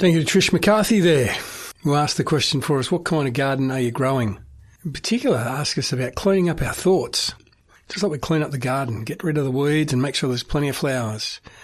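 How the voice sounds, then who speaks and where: Talking at a very fast pace, a man has an Australian accent and a somewhat breathy sound. His pitch is fairly high and his intonation lively. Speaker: radio host. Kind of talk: radio presenting. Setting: studio.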